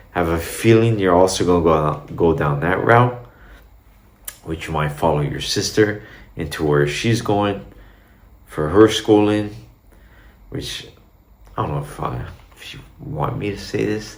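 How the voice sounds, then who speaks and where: With a very deep, low pitch, a man speaks fairly slowly and leaves long, frequent pauses. His intonation is lively, his loudness swings widely, and room echo is audible. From Brazil, Minas Gerais. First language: Portuguese. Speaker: vlogger. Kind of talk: casual talk to camera. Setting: home recording, in Dubai. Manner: casual, rambling.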